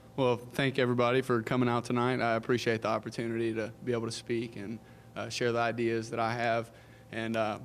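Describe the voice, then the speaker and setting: The speech races along at a very fast pace in a monotone, flat intonation. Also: man, medium pitch for a man. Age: 20s. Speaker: political candidate. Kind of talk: opening statement at candidate forum.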